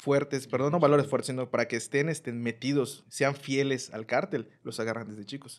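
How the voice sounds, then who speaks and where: A man's ordinary speaking voice, medium in pitch, with fairly even intonation and a moderate pace. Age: 30s. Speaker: youth minister. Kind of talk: casual chat.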